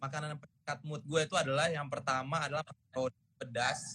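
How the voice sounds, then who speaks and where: A bright, sharp tone carries speech with fairly even intonation. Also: man. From Indonesia. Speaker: singer. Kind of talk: casual chat. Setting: video call.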